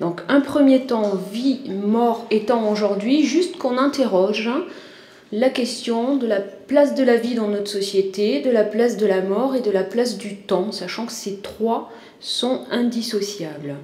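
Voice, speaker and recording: A woman with a fairly high pitch talks at a very slow pace with ordinary pitch variation. Noticeable background noise and audible room echo surround her voice. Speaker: university lecturer and author. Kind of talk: conference talk. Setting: conference with audience. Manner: hesitant, many fillers.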